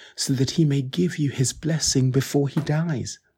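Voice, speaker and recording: Somewhat breathy, this voice carries a dark, mellow tone. Its pace is moderate and its pitch varies in an ordinary way. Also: man. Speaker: scripture reader. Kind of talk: reading aloud.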